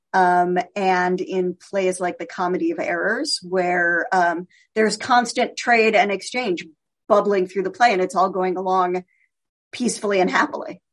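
A woman with an American accent talks at a moderate pace in an ordinary speaking voice, her pitch varying in an ordinary way. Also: medium pitch for a woman. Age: 50s. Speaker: literary scholar and writer. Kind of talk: radio interview.

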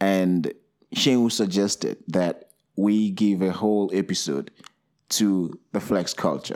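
A man with a fairly low pitch talks at a very slow pace, his intonation fairly even and loudness very even, on a very clean recording with a silent background. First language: not English. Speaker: podcast co-host. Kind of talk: casual chat.

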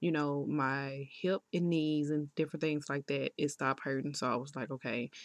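Over a quiet background, a woman speaks at a very deep, low pitch and a moderate pace. Her intonation is fairly even, and the sound is dry and close, with no echo. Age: 30s. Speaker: solo podcaster. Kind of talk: personal testimony. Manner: casual, conversational.

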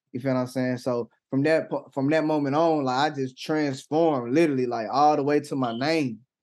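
In a plain, everyday voice, a man with an American accent talks at a fairly quick pace with hardly any pauses, fairly high pitch and fairly even intonation against a quiet background. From Atlanta, Georgia (US South). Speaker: gospel rapper. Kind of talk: casual interview. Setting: livestream on Twitch.

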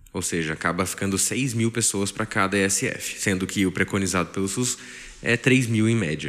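With lively intonation, a man speaks at a fairly slow pace in a fairly low pitch. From Brazil, Taubaté, São Paulo state. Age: 20s. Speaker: family doctor. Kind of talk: interview.

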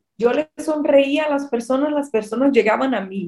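A woman's voice with lively intonation. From Brazil. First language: Portuguese (speaking Spanish). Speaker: marketing entrepreneur. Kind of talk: casual interview. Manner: halting.

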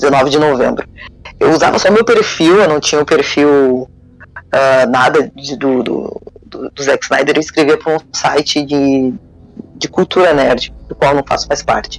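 A man speaks in an unremarkable speaking voice, pitched fairly high. His pace is fairly slow, with ordinary pitch variation. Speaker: fan news site founder. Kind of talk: casual chat.

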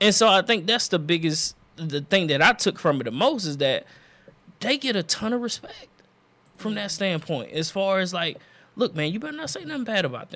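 Raising and projecting his voice, a man with a high pitch and a bright, sharp tone speaks at a moderate pace with very wide pitch swings. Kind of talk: casual banter podcast chat.

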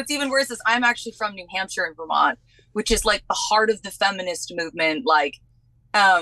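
A woman speaks at a fairly high pitch with a bright, sharp tone. The sound is dry and close, with no echo. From New England. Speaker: podcast host guest. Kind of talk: casual chat. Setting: video call.

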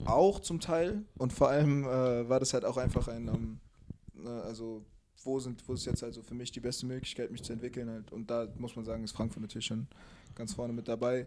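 Fairly quick in pace, a man speaks at a medium pitch in a dark, mellow tone, with ordinary pitch variation. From Mainz, Germany. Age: 20s. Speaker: basketball player. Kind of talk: casual chat.

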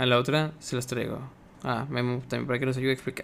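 This man speaks with a Mexican accent. His pitch is medium. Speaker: podcast host. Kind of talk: casual chat.

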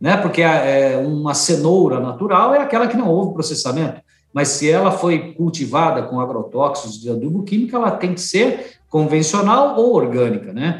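A man's high-pitched voice moves through very wide pitch swings. Audible room echo surrounds his speech. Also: moderate pace. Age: 50s. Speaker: organic food company executive. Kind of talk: interview.

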